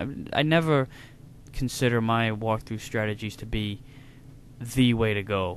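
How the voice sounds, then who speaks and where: With a northeastern US accent, a man speaks at a fairly slow pace in a fairly low pitch. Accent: American northeastern. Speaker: video game reviewer. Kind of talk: casual Q&A talk to camera.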